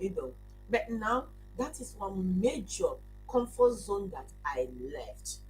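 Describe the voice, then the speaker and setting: A woman talks at a fairly slow pace. Music plays in the background, and room echo is audible. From Nigeria. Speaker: digital business owner, former nurse. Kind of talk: live stream testimony. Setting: live stream. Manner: halting.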